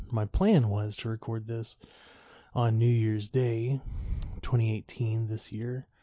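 Somewhat breathy, a man speaks at a medium pitch and a fairly slow pace. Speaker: podcast host. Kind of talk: solo monologue. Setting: lying in bed at home.

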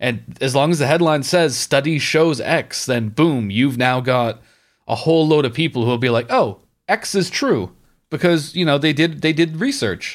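In an animated, angry tone, a man speaks at a moderate pace with ordinary pitch variation and very even loudness on a very clean recording with a silent background. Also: fairly high pitch for a man. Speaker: podcast host. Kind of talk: casual comedic chat about video games. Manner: animated, profane, angry about Ubisoft.

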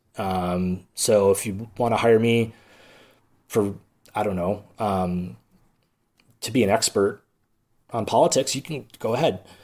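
Recorded very cleanly against a silent background, the speaker uses an Upper Midwest accent at a fairly slow pace with long, frequent pauses. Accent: Upper Midwest American. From Milwaukee, Wisconsin. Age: 40s. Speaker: podcast host. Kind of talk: comedic solo monologue. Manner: halting, many fillers.

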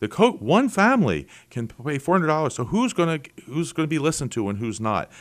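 Someone with an American accent and vocal fry talks at a fairly quick pace with very wide pitch swings, on a very clean recording with a silent background. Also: man. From Philadelphia, Pennsylvania. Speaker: state senator. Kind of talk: casual interview. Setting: his office.

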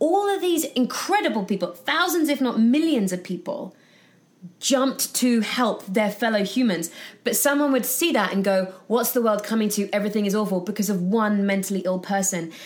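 With a British accent, a woman speaks at a fairly high pitch with lively intonation. Her loudness stays very even. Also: moderate pace. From UK. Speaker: actress and founder of a positive news platform. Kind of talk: casual interview. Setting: in person studio.

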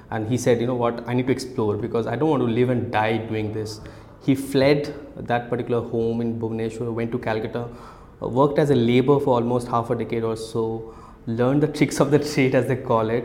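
Over audible room echo, a man speaks fairly quickly at a medium pitch in a monotone, flat intonation. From India, Kolkata (Odia family). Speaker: startup founder and CEO. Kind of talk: casual interview. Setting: office.

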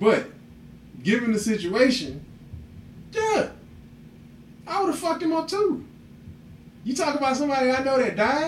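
With an animated tone and an extremely high pitch, a man speaks at a moderate pace, his pitch swinging very widely between long, frequent pauses as room echo sounds around him. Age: 30s. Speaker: podcast host. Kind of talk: casual chat.

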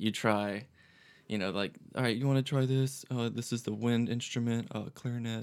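A man with an American accent and an ordinary speaking voice, medium in pitch, at a moderate pace with fairly even intonation, in a very clean recording with a silent background. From Florida Panhandle (Pensacola), US South. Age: 20s. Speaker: musician. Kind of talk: casual chat.

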